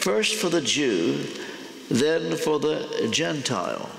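A man speaks at a fairly slow pace. Room echo can be heard around his voice. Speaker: guest. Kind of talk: sermon. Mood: warm, lightly humorous. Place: church.

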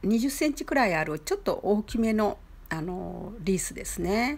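The speaker is a woman. Her voice rises and falls across a very wide pitch range. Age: 70s. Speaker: flower arrangement teacher. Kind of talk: tutorial. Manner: polite.

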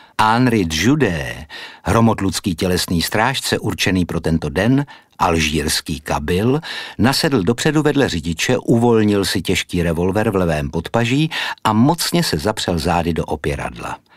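In a dramatic tone, a man's very deep, low voice takes very wide pitch swings at a fairly slow pace. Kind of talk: audiobook narration, scripted reading aloud. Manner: measured, formal, storytelling pace with dramatic, suspenseful delivery.

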